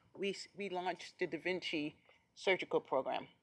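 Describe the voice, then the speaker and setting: A woman's bright, sharp tone at medium pitch and a moderate pace. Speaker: hospital administrator. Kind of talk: presentation at board committee meeting.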